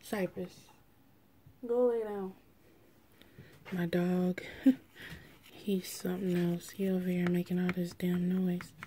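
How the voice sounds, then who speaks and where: This woman's voice sits at a medium pitch, dark and mellow in tone and somewhat breathy. She talks very slowly in a flat monotone, with long, frequent pauses. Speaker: beauty vlogger. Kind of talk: makeup tutorial.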